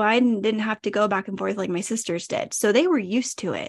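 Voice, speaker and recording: Here is an unremarkable speaking voice: a woman with an American accent, fairly high in pitch, going at a moderate pace. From California. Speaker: podcaster. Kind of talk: casual interview.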